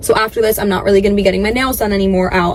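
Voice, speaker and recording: A woman talks at a medium pitch with fairly even intonation. Noticeable background noise runs under her voice. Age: 20s. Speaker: social media creator. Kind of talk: casual vlog talk.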